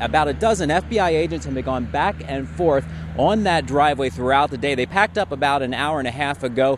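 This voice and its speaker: A man with an American accent talks very fast with vocal fry and very wide pitch swings, his dry, echo-free voice set against noticeable background noise. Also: fairly high pitch for a man. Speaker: television news reporter. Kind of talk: TV news reporter package and live stand-up. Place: street.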